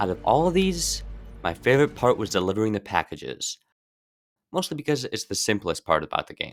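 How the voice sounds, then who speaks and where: Music in the background accompanies speech at a fairly quick pace. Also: man. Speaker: video game reviewer. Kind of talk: game review narration.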